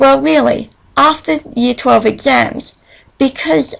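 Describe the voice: A woman with a high pitch, vocal fry, ordinary pitch variation, and a slow pace.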